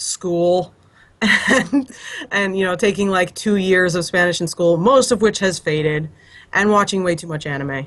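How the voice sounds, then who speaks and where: This woman speaks in a normal speaking voice with an American accent, medium pitch, ordinary pitch variation and a moderate pace. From United States. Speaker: illustrator and comic artist. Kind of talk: casual chat.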